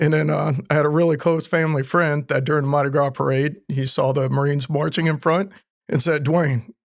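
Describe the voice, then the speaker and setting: A man with a Louisiana accent, fairly high in pitch, fairly quick, with fairly even intonation and very even loudness. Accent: Louisiana Southern accent, noticeable. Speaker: Marine Corps veteran. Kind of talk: interview.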